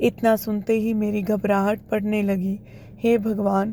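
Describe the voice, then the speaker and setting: This woman's voice has a fairly high pitch, a dark, mellow tone and fairly even intonation. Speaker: storyteller narrator. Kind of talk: reading aloud a story.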